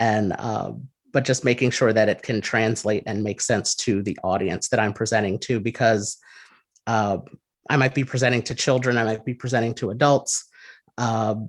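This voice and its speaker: In a very clean recording with a silent background, a man with an American accent speaks at medium pitch and a moderate pace, his intonation fairly even. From New Jersey. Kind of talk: interview. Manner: hesitant, many fillers.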